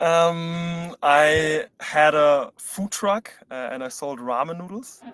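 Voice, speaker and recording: With a German accent, a man speaks very slowly with hardly any pauses, his fairly high voice showing ordinary pitch variation and big swings in loudness, in a dry, close sound with no echo. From Germany, Berlin. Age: 20s. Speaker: startup co-founder. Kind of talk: live webinar Q&A.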